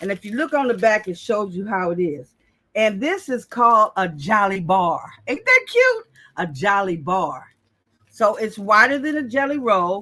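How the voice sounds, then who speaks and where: On a very clean recording with a silent background, a woman speaks at a moderate pace in a fairly high pitch, animated and bright with a sharp tone and lively intonation. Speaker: quilting channel host. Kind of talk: live craft tutorial. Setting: home live stream.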